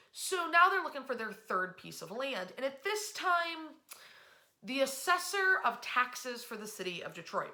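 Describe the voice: Audible room echo surrounds a woman whose high-pitched, bright, sharp voice makes big pitch swings. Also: fairly slow pace.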